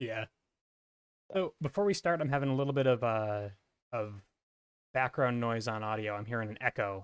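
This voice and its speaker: A quiet man at medium pitch with ordinary pitch variation, a moderate pace and long, frequent pauses, in a dry, close sound with no echo. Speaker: tournament organizer and commentator. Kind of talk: live game commentary. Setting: live stream. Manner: quiet talker.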